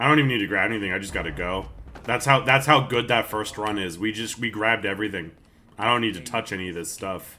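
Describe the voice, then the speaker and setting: Talking at a very fast pace, a man uses a fairly low pitch and ordinary pitch variation. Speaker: gaming streamer. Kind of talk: live stream chat while gaming. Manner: casual, halting with fillers.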